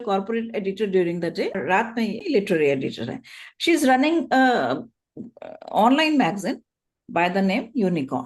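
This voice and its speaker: Against a quiet background, a woman speaks with vocal fry and very wide pitch swings. She leaves long, frequent pauses. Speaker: podcast host. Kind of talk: podcast host introduction.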